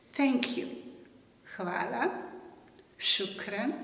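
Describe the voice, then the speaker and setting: There is audible room echo. A woman's voice makes very wide pitch swings. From Slovenia. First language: Slovenian. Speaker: author. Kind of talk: promotional self-introduction.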